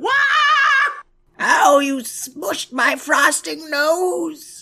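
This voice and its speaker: In a put-on character voice, the speaker delivers the words at a high pitch and a very slow pace. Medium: audio drama. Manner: falsely sweet, hungry.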